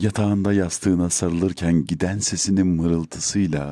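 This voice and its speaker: A very deep, low male voice with a dark, mellow tone. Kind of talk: poetry reading.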